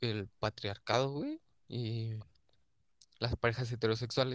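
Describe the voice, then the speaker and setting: With a monotone, flat intonation, a man talks at a fairly slow pace in a dry, close sound with no echo. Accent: Mexican. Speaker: podcast co-host. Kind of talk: casual chat.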